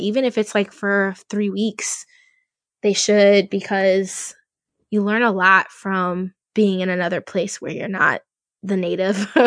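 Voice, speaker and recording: A woman speaks in an American accent with monotone, flat intonation. The sound is dry and close with no echo, over a quiet background. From Louisiana, US South. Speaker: game product manager. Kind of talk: casual interview.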